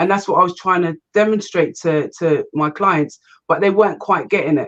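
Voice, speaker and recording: A woman talks with an English accent. Her intonation stays fairly even. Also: medium pitch for a woman, moderate pace. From England, Kent. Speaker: business and property investment coach. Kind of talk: interview.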